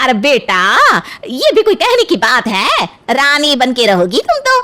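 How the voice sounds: In a cartoonish character voice, a woman speaks at a moderate pace. Her pitch is high.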